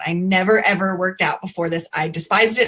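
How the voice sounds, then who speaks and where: Over noticeable background noise, a woman speaks in a medium pitch. Her intonation is fairly even. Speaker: fitness coach. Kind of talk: casual testimony.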